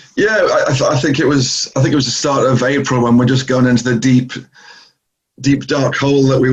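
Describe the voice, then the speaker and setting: Somewhat breathy and at a fairly quick pace, the voice comes through in a northeast England accent. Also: man. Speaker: travel company executive. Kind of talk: interview. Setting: video call.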